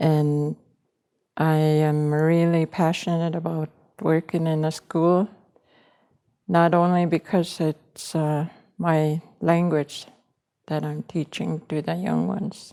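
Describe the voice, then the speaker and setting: On a very clean recording with a silent background and a dry, close sound with no echo, a woman speaks at a very slow pace with long, frequent pauses, her very deep, low pitch and dark, mellow tone held in a monotone, flat intonation. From Maskwacis, Alberta, Canada (First Nations reserve). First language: Cree. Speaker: Cree language teacher. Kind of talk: interview.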